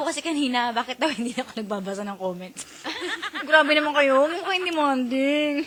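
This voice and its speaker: Over noticeable background noise, a woman uses a raised, projected voice at a high pitch. Her pitch swings very widely, and her pace is fairly quick. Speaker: radio DJ. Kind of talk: live radio banter.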